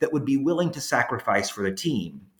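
A somewhat breathy voice with very wide pitch swings. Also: man. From Louisiana. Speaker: history professor and author. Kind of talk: interview.

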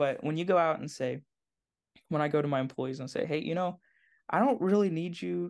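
A man with an American accent, fairly high in pitch, at a fairly quick pace with lively intonation and long, frequent pauses, against a quiet background. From southern Indiana, US Midwest. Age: 20s. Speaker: e-commerce founder. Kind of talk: interview. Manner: halting, many repetitions.

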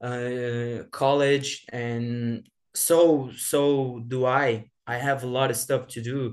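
A man speaks at a medium pitch with a Brazilian accent. His intonation is monotone and flat. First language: Portuguese. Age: 20s. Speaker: former exchange student, now college student. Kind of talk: casual interview. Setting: remote call from Brazil. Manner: halting, searches for English words.

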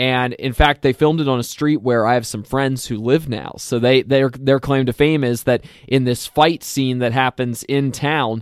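A man's plain, everyday voice at medium pitch, with fairly even intonation, a moderate pace and a dry, close sound with no echo. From Lancaster County, Pennsylvania. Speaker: movie podcast co-host. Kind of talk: casual banter podcast chat about movies.

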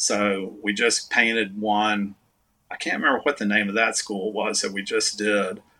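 This man speaks with a Texan accent in a fairly low pitch, his tone bright and sharp and his intonation fairly even. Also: moderate pace. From Texas. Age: 60s. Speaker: artist and musician. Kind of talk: casual chat. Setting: video call.

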